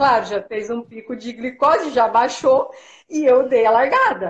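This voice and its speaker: In a quiet background, a woman speaks at a moderate pace with a high pitch. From Paraná, Brazil. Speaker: sports nutritionist and marathon runner. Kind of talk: live video interview. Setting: video call from home. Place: home room. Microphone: video call.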